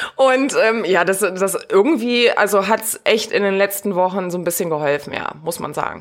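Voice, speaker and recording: A woman speaks at a moderate pace with hardly any pauses, her pitch in the medium range and its variation ordinary. It is a plain, everyday voice. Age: 30s. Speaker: virtual assistant and podcast producer. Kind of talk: casual interview.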